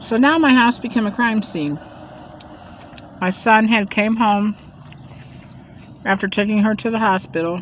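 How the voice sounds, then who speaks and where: Her voice is fairly high, and her pitch varies in an ordinary way. This woman talks at a moderate pace but leaves long, frequent pauses. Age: 60s. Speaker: mukbang vlogger. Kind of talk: casual storytelling while eating.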